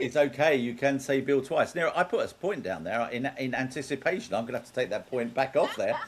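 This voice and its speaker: Speaking at a fairly quick pace with hardly any pauses, a man holds a medium pitch and ordinary pitch variation. Noticeable background noise is present. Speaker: game show host. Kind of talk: game show hosting.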